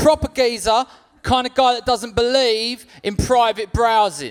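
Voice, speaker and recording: Speaking at a fairly slow pace in a London accent, a man uses an extremely high pitch with ordinary pitch variation. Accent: London, sounds like a cab driver. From South London. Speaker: stand-up comedian. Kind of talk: stand-up. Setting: stage with audience.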